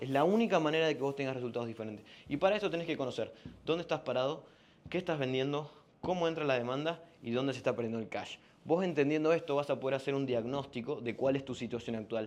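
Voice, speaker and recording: Talking at a very fast pace, a man uses a fairly high pitch. His pitch variation is ordinary. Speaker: business coach. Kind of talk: sales pitch.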